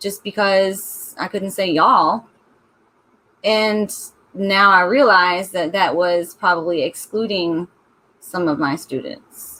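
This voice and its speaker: In a Southern US accent, a woman with a bright, sharp tone speaks at medium pitch with ordinary pitch variation, at a very slow pace and with long, frequent pauses. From US South. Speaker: book club host. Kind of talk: casual chat. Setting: live stream.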